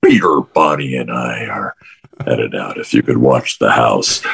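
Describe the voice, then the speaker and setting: A raspy, put-on character voice from a man. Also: moderate pace. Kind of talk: brisk, bossy. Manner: officious, sharp.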